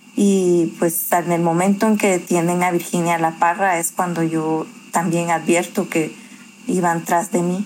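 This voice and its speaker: At a fairly slow pace, a woman talks with fairly low pitch in a monotone, flat intonation. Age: 40s. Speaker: lawyer. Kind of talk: interview testimony.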